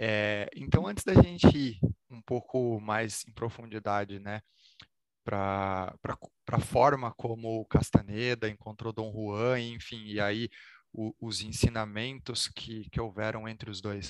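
A man's very slow, fairly evenly intoned speech with big swings in loudness, dry and close with no echo. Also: fairly low pitch for a man. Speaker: spirituality podcast host. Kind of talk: interview conversation.

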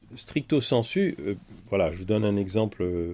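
A man speaks at a moderate pace in an unremarkable speaking voice. His pitch is fairly low. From France. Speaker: doctor and writer. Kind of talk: interview.

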